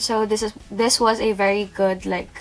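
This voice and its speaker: Noticeable background noise sits behind a woman with a non-native accent. Her voice is fairly high, and she speaks at a moderate pace. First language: not English. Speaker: beauty youtuber. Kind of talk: product review. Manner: casual, hesitant.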